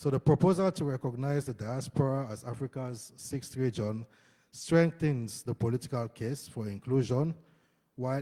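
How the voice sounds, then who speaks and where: In a very clean recording with a silent background, a man's somewhat breathy voice has a dark, mellow tone and medium pitch with ordinary pitch variation. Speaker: conference panelist. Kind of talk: conference presentation.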